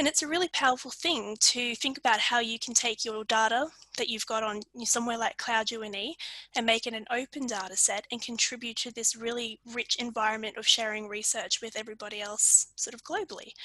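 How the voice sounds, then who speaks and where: Bright and sharp, a woman's fairly high voice moves at a fairly quick pace. The sound is dry with no echo, against a quiet background. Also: fairly even intonation. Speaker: librarian presenter; presenter. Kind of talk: webinar presentation. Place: home room. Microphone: video call.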